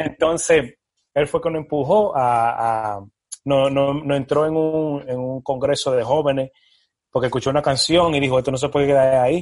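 A man speaks in a plain, everyday voice at a fairly high pitch. His pace is moderate and his intonation fairly even. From Dominican Republic, moved to New York around age 10. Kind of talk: casual interview chat.

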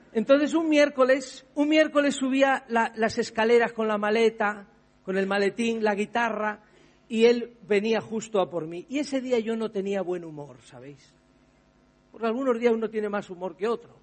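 A man with a Spanish accent talks at a moderate pace in a high pitch. His loudness swings widely while his pitch varies in an ordinary way. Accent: Peninsular Spanish. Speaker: pastor. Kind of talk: sermon.

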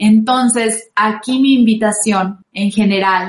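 A woman speaks at a very slow pace. Her fairly high voice holds a fairly even intonation. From Mexico, San Luis Potosí. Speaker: radio host and singer. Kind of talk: casual talk show with advice.

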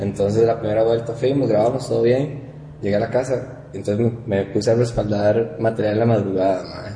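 With a Costa Rican accent, a man speaks in fairly even intonation amid audible room echo and noticeable background noise. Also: medium pitch for a man, fairly quick pace. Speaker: podcast host, audiovisual producer. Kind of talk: casual chat. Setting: guests' studio.

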